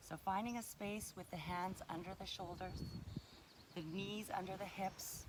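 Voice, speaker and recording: Soft-spoken and at a fairly slow pace, a woman talks in a medium pitch. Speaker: fitness instructor. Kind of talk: guided exercise instruction.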